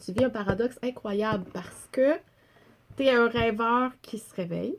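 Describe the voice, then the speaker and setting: In a Quebec accent, a woman speaks at a fairly slow pace with ordinary pitch variation and big swings in loudness. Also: fairly high pitch for a woman. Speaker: storyteller. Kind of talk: casual chat.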